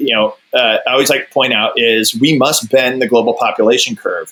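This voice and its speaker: With lively intonation, a man uses an unremarkable speaking voice at a medium pitch and a moderate pace. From US South. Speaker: author and geographer. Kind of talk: podcast interview.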